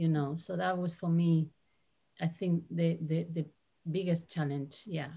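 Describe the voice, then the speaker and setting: Fairly slow and marked by long, frequent pauses, a woman's somewhat breathy voice carries a dark, mellow tone at a fairly low pitch with monotone, flat intonation. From Spain. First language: Spanish. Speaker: translator. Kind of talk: panel discussion. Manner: halting.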